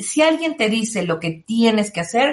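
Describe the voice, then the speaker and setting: This woman has a Mexican accent and a somewhat breathy, medium-pitched voice. She talks at a fairly slow pace with very wide pitch swings. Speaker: tarot reader and self-help author. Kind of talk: interview.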